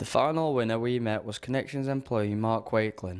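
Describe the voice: A man's clear, smooth, slightly mellow voice at a fairly low pitch, with fairly even intonation and a moderate pace.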